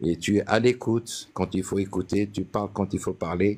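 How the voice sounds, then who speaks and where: At a moderate pace and a fairly low pitch, a man talks in a normal speaking voice with ordinary pitch variation. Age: 60s. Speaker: caller sharing naturalization interview experience. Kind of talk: casual chat.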